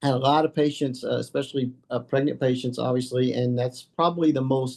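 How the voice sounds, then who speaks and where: A man's medium-pitched voice at a fairly quick pace, in a monotone, flat intonation. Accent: Kentucky. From Kentucky, Murray. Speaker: addiction medicine physician. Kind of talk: interview. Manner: halting, many fillers.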